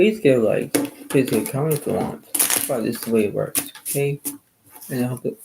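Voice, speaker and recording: Quiet speech at a fairly quick pace, broken by long, frequent pauses. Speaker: video creator. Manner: quiet, low volume.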